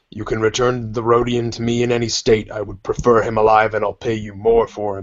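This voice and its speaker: The delivery is a put-on character voice, monotone with flat intonation. It moves at a fairly quick pace. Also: man, medium pitch for a man. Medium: actual play. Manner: menacing, curt.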